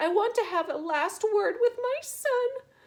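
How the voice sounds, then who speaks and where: Using a put-on character voice, a woman speaks at an extremely high pitch, raised and projected. Her pace is moderate. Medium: read story. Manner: melodramatic.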